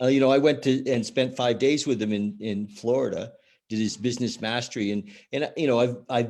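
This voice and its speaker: Against a quiet background, the speaker moves at a fairly quick pace with fairly even intonation. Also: man, medium pitch for a man. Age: 60s. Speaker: podcast host. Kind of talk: casual chat. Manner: halting, many fillers.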